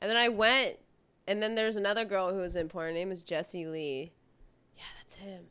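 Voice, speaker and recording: On a very clean recording with a silent background, a woman with an American accent talks fairly quickly at a medium pitch in a bright, sharp tone with big swings in loudness. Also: ordinary pitch variation. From US Midwest, Omaha, Nebraska. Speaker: adult film performer. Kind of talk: casual chat.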